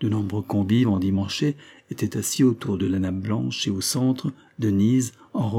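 A natural voice reading aloud, its pitch shifting in an ordinary way

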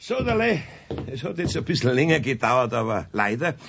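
Putting on a character voice, a man speaks at medium pitch with a fairly bright tone, a slightly husky edge, vocal fry and big pitch swings. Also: moderate pace.

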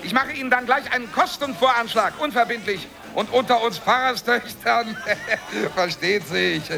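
A man's put-on character voice, extremely high in pitch, bright and sharp in tone with vocal fry, ordinary pitch variation and a moderate pace, over faint background music and audible room echo

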